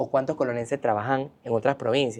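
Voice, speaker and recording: A man in a Colón accent, dark and mellow in tone, at a moderate pace. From Panama, Colón. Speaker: cultural center director. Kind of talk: interview conversation. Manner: animated.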